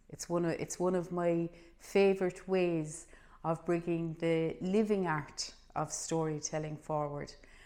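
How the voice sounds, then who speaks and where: In a Cork accent, a woman speaks at a fairly slow pace and a fairly low pitch, her intonation monotone and flat. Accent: Irish, Cork. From Ireland. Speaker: storyteller. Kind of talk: spoken introduction to camera.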